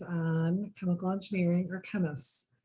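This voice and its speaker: Here a woman speaks with an American accent. Her tone is dark and mellow and somewhat breathy. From Michigan. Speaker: engineer. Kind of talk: presentation.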